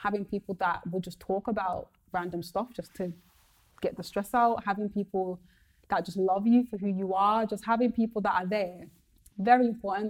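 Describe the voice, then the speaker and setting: At a moderate pace, a woman speaks in a monotone, flat intonation at a medium pitch. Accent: Birmingham. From Birmingham, England. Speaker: comedian and radio presenter. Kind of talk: casual chat.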